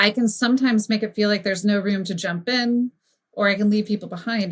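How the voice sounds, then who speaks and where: Somewhat breathy speech from a woman at a fairly quick pace. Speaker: brand strategist. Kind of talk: podcast interview conversation. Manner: fast; animated.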